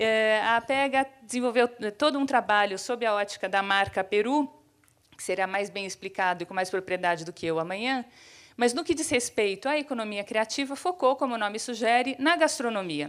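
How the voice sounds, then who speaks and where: A woman with a São Paulo accent talks at a moderate pace in a fairly high pitch with lively intonation, captured in a very clean recording with a silent background. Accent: São Paulo (paulistano). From São Paulo city, Brazil. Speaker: economist and urbanism professor, panel speaker. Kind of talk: keynote talk. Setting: theater stage with audience. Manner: hesitant fillers.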